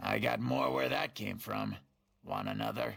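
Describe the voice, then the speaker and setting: A man does a raspy, put-on character voice at a moderate pace. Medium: video game. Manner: chatty, sly, salesman-like.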